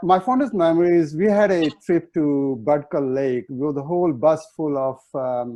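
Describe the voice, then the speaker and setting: Speaking at a fairly slow pace with an Indian accent, a man uses a fairly high pitch and ordinary pitch variation. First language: Hindi. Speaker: chef. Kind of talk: panel discussion. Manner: halting.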